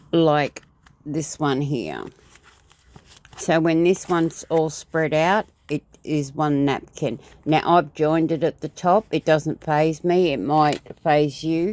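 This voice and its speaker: Very deep and low, a woman's voice moves at a very slow pace with fairly even intonation in a very clean recording with a silent background. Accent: Australian. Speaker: crafter. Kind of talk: tutorial. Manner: halting; casual.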